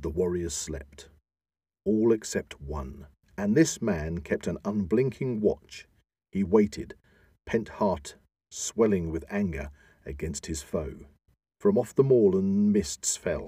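A man with a dark, mellow tone and fairly low pitch sounds somewhat breathy, speaking at a very slow pace with long, frequent pauses. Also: lively intonation. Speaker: podcast host. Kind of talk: dramatic reading of an epic poem. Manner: dramatic, theatrical, declamatory.

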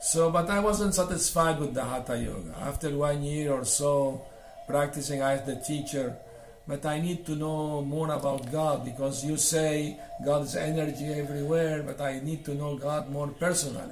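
With music in the background and audible room echo, a man with a fairly high pitch speaks at a moderate pace and with fairly even intonation. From Syria and Venezuela. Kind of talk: interview about life story.

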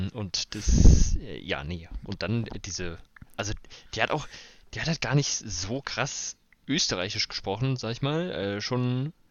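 Very slow and full of long, frequent pauses, a man of medium pitch speaks with very wide pitch swings. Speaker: podcast co-host. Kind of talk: casual chat. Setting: remote recording on holiday. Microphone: worse recording quality while on holiday.

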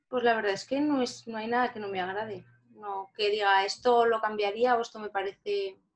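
With fairly even intonation, a woman speaks at a fairly high pitch and a moderate pace. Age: 20s. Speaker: lottery shop owner and psychology student. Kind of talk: interview. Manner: halting.

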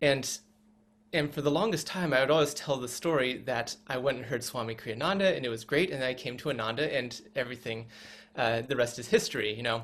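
Talking at a fairly quick pace, a man has an unremarkable speaking voice with a medium pitch and ordinary pitch variation. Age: 40s. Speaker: former tech worker, spiritual community member. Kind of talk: interview. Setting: video call.

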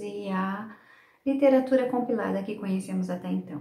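The recording carries noticeable background noise. Audible room echo is also present. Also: woman. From Brazil, São Paulo state (Sumaré). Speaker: storyteller and teacher. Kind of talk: interview; storytelling.

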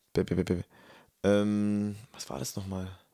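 Fairly low in pitch, a man talks at a moderate pace. The recording is very clean, with a silent background. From Germany. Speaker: podcast co-host, kindergarten teacher. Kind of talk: casual chat. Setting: in person, same room.

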